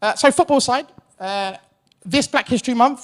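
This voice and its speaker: In a very clean recording with a silent background, a man speaks with a British accent. His intonation is lively. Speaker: account director at a podcast company. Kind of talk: conference presentation. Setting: stage with audience. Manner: hesitant with fillers; loud.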